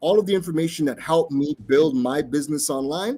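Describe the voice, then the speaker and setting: A man's high voice, lively in intonation, at a moderate speed. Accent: American. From US, raised abroad. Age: 30s. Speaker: tech entrepreneur. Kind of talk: conference talk.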